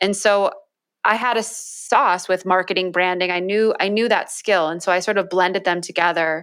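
A woman's medium-pitched voice with fairly even intonation at a moderate pace, on a very clean recording with a silent background. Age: 30s. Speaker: personal branding agency CEO. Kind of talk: interview. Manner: calm.

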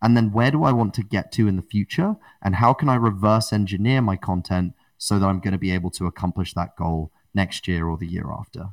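Recorded with a dry, close sound and no echo, a man with a British accent speaks at a fairly low pitch with ordinary pitch variation. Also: fairly quick pace, very clean recording, silent background. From England. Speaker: podcast network builder and podcaster. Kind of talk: interview conversation.

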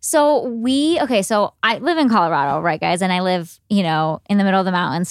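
A woman with an American accent uses an ordinary speaking voice at medium pitch, moving at a moderate pace with lively intonation on a very clean recording with a silent background. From US Midwest, Cleveland, Ohio. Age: 20s. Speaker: food blogger. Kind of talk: interview. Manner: casual with fillers.

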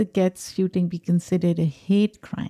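A woman talks at a moderate pace. She has a plain, everyday voice, medium in pitch. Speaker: podcast co-host. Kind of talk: casual discussion.

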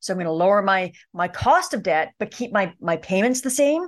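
A woman with a plain, everyday voice, medium pitch, fairly quick pace and a Canadian accent. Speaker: personal finance expert. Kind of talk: interview.

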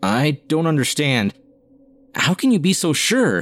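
In a put-on character voice, a man speaks at a moderate pace with a fairly high pitch and very wide pitch swings, in a dry, close sound with no echo. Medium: read story.

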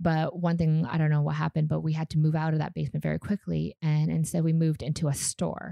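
A woman speaks very fast with a slight Canadian accent, hardly pausing, her loudness very even and the sound dry and close with no echo. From Canada; Calgary, Canada. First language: Vietnamese. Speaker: startup founder and CEO. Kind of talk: casual interview chat.

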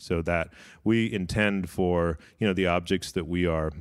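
On a very clean recording with a silent background, a man speaks at a moderate pace with a very deep, low pitch. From United States. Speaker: museum chief scientist. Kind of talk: interview. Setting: recorded on location at a museum. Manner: animated.

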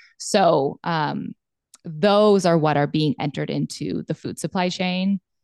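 A woman with an American accent and a plain, everyday voice, fairly low-pitched and fairly slow, with ordinary pitch variation, in a dry, close sound with no echo and a quiet background. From Montana. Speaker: pharmacist and cattle rancher. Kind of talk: casual interview chat.

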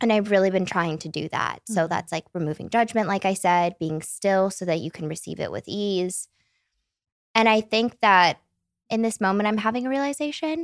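A woman speaks in a plain, everyday voice of medium pitch, with lively intonation at a fairly quick pace. The recording is very clean with a silent background, and the sound is dry and close with no echo. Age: 20s. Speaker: podcast guest, former podcast regular. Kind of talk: casual chat. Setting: studio in Malibu, in person.

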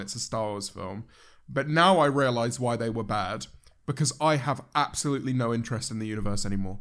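Very fast speech in a British accent on a very clean recording with a silent background. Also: man. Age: 20s. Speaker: YouTuber. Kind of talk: casual chat.

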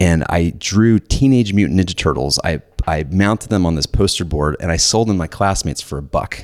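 Speaking with an American accent, a man with a very deep, low pitch goes at a fairly quick pace with hardly any pauses and ordinary pitch variation. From US South, Georgia (Atlanta suburbs). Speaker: entrepreneur. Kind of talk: casual interview.

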